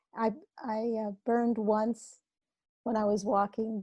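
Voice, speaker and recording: A woman's somewhat breathy, dark, mellow voice at a fairly high pitch and fairly slow pace, monotone and flat, with a dry, close sound with no echo and a quiet background. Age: 70s. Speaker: author and hypnotherapist. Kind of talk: podcast interview.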